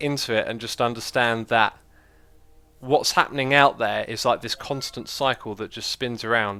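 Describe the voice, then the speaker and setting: Speaking with a British accent, a man has a bright, sharp tone and a moderate pace. The recording is very clean, the background silent. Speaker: gaming livestreamer. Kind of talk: casual livestream chat with viewers. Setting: livestream. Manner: casual, conversational with fillers.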